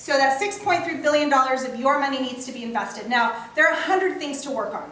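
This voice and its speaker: A woman's raised, projected voice, high in pitch and very fast, with ordinary pitch variation, audible room echo, and noticeable background noise. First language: not English. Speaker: local politician and candidate for county office. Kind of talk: campaign speech at a community meeting. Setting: town council meeting with audience.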